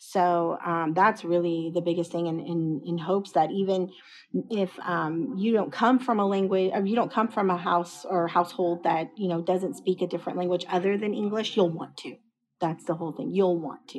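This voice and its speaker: This woman has a plain, everyday voice and an American accent. She speaks at a moderate pace with a fairly low pitch and fairly even intonation. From Dallas-Fort Worth, Texas. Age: 40s. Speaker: educator and school administrator. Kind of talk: interview.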